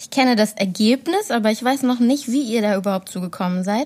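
On a very clean recording with a silent background, a woman with a fairly high pitch sounds somewhat breathy and uses ordinary pitch variation. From Ruhr area, Essen. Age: 20s. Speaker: project assistant. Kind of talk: interviewing.

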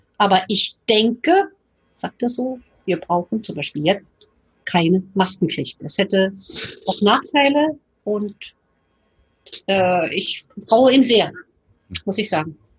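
Over music in the background, a woman of medium pitch speaks with lively intonation at a very slow pace, with long, frequent pauses. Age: 60s. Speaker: retired physician. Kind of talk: interview.

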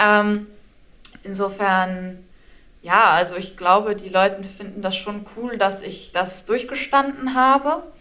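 Speaking very slowly at a medium pitch, a woman shows ordinary pitch variation and big swings in loudness. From northern Germany, Schleswig-Holstein. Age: 20s. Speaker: university student sharing recovery story. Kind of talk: interview testimony.

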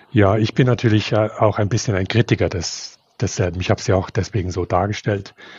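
Fairly quick and somewhat breathy, a man talks with fairly even intonation. His pitch is fairly low. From not Switzerland. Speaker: theologian and ethicist. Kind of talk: interview. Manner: halting.

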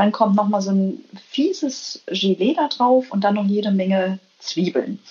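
Behind this woman there is noticeable background noise. She speaks at a fairly slow pace with medium pitch and lively intonation. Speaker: biologist and business manager. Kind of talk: interview. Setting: remote call from Copenhagen. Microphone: weak connection signal.

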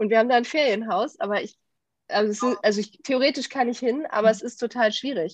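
In an unremarkable speaking voice, a woman talks at a fairly quick pace and fairly high pitch with ordinary pitch variation, over a quiet background. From Germany, Düsseldorf. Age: 30s. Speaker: corporate training manager. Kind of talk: casual interview.

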